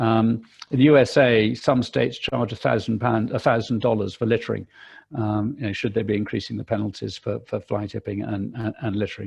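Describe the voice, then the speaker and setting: There's vocal fry in this man's medium-pitched voice. He speaks at a fairly quick pace with fairly even intonation. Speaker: landowners' association policy representative. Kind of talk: webinar presentation. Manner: fast; hesitant, many fillers and repetitions.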